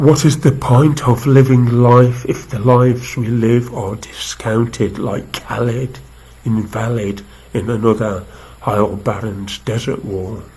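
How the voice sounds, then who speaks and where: Against noticeable background noise, the speech moves at a fairly slow pace with fairly even intonation. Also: man, medium pitch for a man. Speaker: activist poet. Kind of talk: poetry reading. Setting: live video stream.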